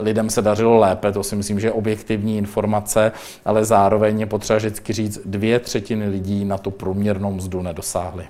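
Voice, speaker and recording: Noticeable background noise surrounds a man speaking at a fairly low pitch. His intonation is flat and monotone. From Czech Republic, Mladá Boleslav. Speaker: deputy minister. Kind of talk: interview. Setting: studio. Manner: hesitant, with fillers.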